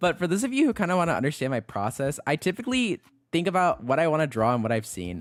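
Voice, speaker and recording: A man talks fairly quickly at a high pitch with very wide pitch swings while music plays in the background. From Mexican heritage. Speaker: vtuber artist streamer. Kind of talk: casual drawing livestream chat. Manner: casual, hesitant with fillers.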